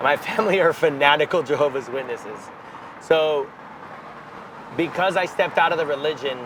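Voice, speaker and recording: A man's fairly high voice at a fairly quick pace, with ordinary pitch variation, long, frequent pauses and noticeable background noise. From Miami, Florida (Cuban-American). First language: Spanish. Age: 30s. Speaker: musician. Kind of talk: interview.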